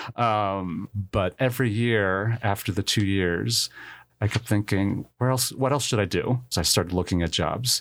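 This man has a plain, everyday voice with an American accent, fairly low pitch, ordinary pitch variation and a moderate pace. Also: very even loudness, very clean recording, silent background. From New Jersey, Filipino family. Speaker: college admissions director. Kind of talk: interview.

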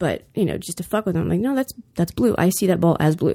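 The voice has a dark, mellow tone and carries vocal fry. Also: woman. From US South. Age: 40s. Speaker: guest. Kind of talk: casual chat.

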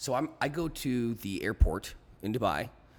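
Vocal fry is present throughout. Intonation moves in a lively way. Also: man. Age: 30s. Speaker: world traveler, podcast guest. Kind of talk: casual chat.

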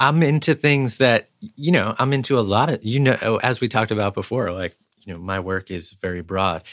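A man's plain, everyday voice at medium pitch, lively in intonation, moderate in pace with hardly any pauses, in a dry, close sound with no echo on a very clean recording with a silent background. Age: 40s. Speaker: photographer. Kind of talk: casual chat.

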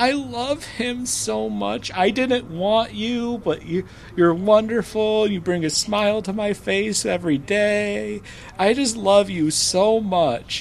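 Using a put-on character voice with a high pitch, a man talks at a fairly slow pace with hardly any pauses over clear background noise. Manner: tearful, affectionate.

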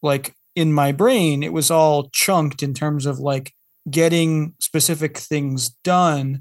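With an American accent, this man has a plain, everyday voice, pitched fairly high, and talks at a fairly slow pace with fairly even intonation. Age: 30s. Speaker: podcast guest, parent. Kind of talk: casual chat.

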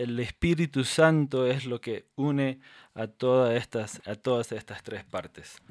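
Here a man talks at a medium pitch. The recording is very clean, with a silent background and a dry, close sound with no echo. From Paraguayan Chaco, Mennonite of North American descent. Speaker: podcast co-host. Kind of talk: casual chat. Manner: halting, many repetitions and fillers.

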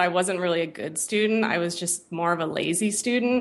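A woman with an ordinary speaking voice uses medium pitch and ordinary pitch variation, talking at a moderate speed. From US, San Francisco Bay Area. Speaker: web designer and developer. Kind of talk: interview.

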